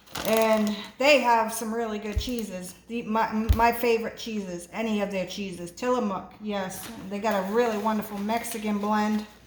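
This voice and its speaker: The delivery is monotone, with flat intonation. Audible room echo and noticeable background noise fill the recording. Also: woman, fairly high pitch for a woman, moderate pace. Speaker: home cooking video host. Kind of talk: cooking tutorial. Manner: sometimes quiet, lowers voice; casual, hesitant with fillers.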